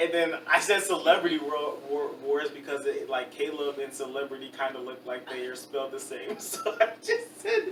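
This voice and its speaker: Over noticeable background noise, a man speaks with big swings in loudness. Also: fairly high pitch for a man, ordinary pitch variation, moderate pace, hardly any pauses. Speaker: podcast co-host. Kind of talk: casual chat. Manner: casual, stumbling.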